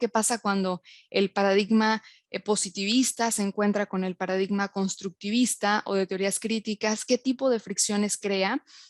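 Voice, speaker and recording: A woman speaks at a fairly high pitch with fairly even intonation. The sound is dry and close, with no echo. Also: quiet background. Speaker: university lecturer and researcher. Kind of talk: lecture. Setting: online webinar.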